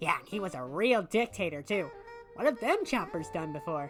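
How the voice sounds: A female-sounding put-on character voice speaks at a medium pitch. Music plays clearly in the background. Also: moderate pace.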